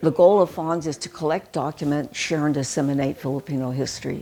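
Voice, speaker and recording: Speaking with a Pacific Northwest accent, a woman uses a very deep, low pitch and a dark, mellow tone, moving at a fairly quick pace with fairly even intonation and hardly any pauses. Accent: American, Pacific Northwest. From Seattle, US Pacific Northwest. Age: 80s+. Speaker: historian and founder of a historical society. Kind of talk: interview.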